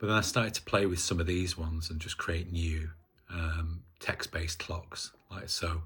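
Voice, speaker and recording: This man has a very deep, low voice and a northern English accent. He talks at a moderate pace in a monotone, flat way. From northern England. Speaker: hobbyist maker. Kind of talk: casual video demonstration. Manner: halting, many fillers.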